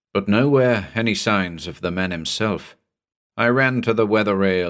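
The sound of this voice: Over a quiet background, pitch varies in an ordinary way through an unforced reading voice.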